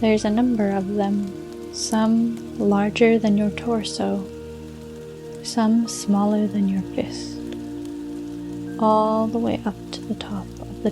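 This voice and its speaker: A woman talks at a very slow pace over music in the background. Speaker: fantasy meditation narrator. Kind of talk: guided fantasy meditation / bedtime story narration. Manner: calm, slow, soothing.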